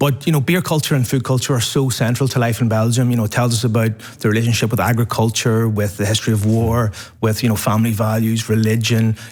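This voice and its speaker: With an Irish accent, a man at medium pitch talks very fast, his loudness very even and his intonation fairly even. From Ireland. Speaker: podcast host, award winner. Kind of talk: award acceptance interview. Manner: halting, repeats words.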